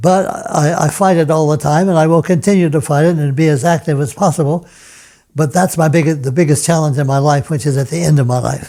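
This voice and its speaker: The man's tone is dark and mellow. There is a somewhat breathy quality to it. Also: fairly high pitch for a man, fairly even intonation, fairly quick pace. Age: 90s. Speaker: retired piano professor and pianist. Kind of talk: interview. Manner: halting, frequent repetitions.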